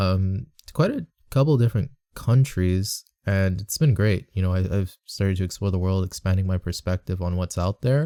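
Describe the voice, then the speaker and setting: With an American accent, a man speaks in a very deep, low pitch with a dark, mellow tone and ordinary pitch variation, the sound dry and close with no echo. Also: moderate pace, very clean recording, silent background. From United States. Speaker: voice actor making boyfriend roleplay audios. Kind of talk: casual Q&A chat. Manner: hesitant, many ums.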